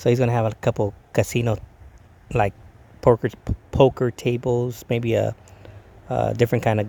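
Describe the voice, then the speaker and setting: A man's relaxed, mumbling voice with a dark, mellow tone, medium pitch and flat, monotone intonation. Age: 50s. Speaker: DJ vlogger. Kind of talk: casual vlog monologue. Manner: stuttering, mumbling.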